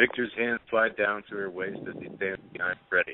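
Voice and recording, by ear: A man's fairly low voice with fairly even intonation, at a moderate pace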